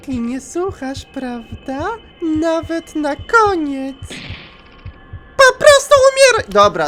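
A put-on character voice speaks in a high pitch at a very slow pace. Long pauses come often. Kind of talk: taunting. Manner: cold, menacing.

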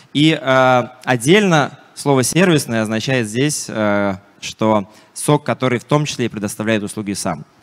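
A man's voice at a fairly slow pace over a quiet background. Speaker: security software vendor representative. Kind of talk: conference talk. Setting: stage with audience. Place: hall. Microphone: handheld.

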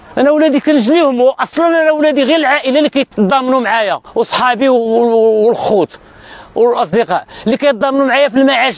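A man's voice, extremely high in pitch, with ordinary pitch variation, a fairly quick pace, very even loudness and a dry sound with no echo. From Morocco. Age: 50s. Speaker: evicted resident, former soldier. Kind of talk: street interview testimony. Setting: outdoors, live stream. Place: open country. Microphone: lapel.

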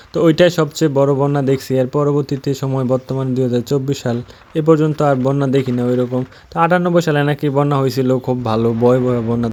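Speaking at a medium pitch with fairly even intonation, the man has a dark, mellow tone. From Bangladesh, Narsingdi. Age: 20s. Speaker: vlogger. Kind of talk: casual vlog narration. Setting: outdoors on a village road.

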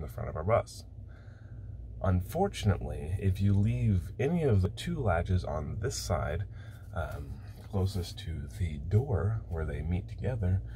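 A man's very deep, low voice at a fairly slow pace, with light background noise. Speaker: bus-life vlogger. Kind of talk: casual vlog chat. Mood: frustrated, wry amusement. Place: bathroom. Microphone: phone near.

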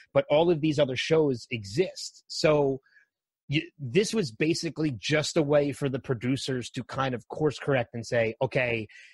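A man's somewhat breathy voice at a moderate pace. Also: dry, close sound with no echo. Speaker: podcast host guest. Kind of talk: casual chat.

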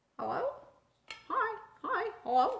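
The voice is a put-on character. It is pitched extremely high. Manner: squawky, repetitive.

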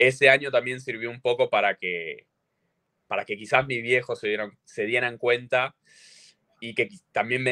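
A man with an Argentine accent speaks at a moderate pace, with long, frequent pauses. His tone is bright and sharp against a quiet background. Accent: Rioplatense Argentine Spanish. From Argentina. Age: 20s. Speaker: CrossFit athlete; podcast guest. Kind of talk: casual chat. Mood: relaxed, friendly. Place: home room. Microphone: video call.

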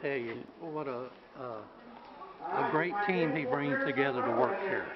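Over faint background noise, a man with a medium pitch speaks at a fairly slow pace. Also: ordinary pitch variation.

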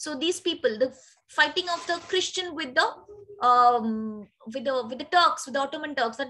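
Projecting a raised voice, a woman speaks at a high pitch with lively intonation against a quiet background. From India. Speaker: teacher. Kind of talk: lecture. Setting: video call. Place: home room. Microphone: webcam.

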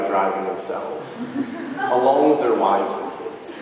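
Strong room echo surrounds a man talking at a moderate pace. Noticeable background noise is present. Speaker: storyteller. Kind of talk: live storytelling performance. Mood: humorous, self-deprecating. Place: hall.

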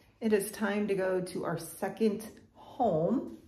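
Light background noise sits under the voice, and room echo is audible. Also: woman. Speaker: home renovation vlogger. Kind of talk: casual vlog chat. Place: home room. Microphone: phone near.

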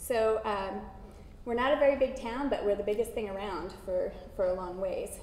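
With audible room echo around her, a woman with an American accent speaks at a moderate pace in a fairly high voice with ordinary pitch variation. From Washington State, US. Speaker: water center coordinator. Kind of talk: lecture. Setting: lecture hall with audience and microphone. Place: hall.

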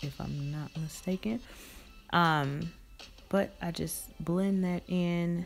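A woman speaks over faint music in the background. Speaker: beauty vlogger. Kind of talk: makeup tutorial. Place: home room. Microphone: phone near.

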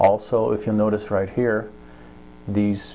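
With an unremarkable speaking voice, a man talks at a fairly slow pace and fairly low pitch over light background noise. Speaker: product reviewer. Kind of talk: tutorial. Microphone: phone near.

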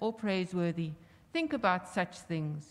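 Lively intonation runs through a woman's speech at a moderate pace. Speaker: minister; minister at memorial service. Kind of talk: scripture reading and prayer. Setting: church. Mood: calm, solemn. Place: church. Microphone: podium.

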